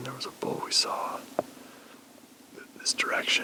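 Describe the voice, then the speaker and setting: A man is whispering. Noticeable background noise can be heard. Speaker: bowhunter. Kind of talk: field vlog narration. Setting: outdoors. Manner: soft-spoken.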